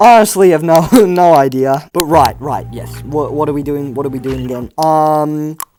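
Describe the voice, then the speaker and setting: A man with an Australian accent speaks at a moderate pace, his pitch fairly high. Music plays in the background. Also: big swings in loudness. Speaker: YouTuber. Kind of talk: casual vlog talk. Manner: stuttering, halting.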